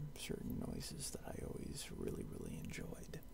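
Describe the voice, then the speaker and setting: The voice has a gentle tone and a moderate pace. Background noise is noticeable. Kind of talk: casual talk to camera. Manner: soft-spoken, gentle, rambling.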